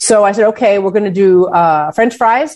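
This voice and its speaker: A plain, everyday voice from a woman with an American accent, medium in pitch with ordinary pitch variation, at a moderate pace. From Chicago, US Midwest. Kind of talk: interview.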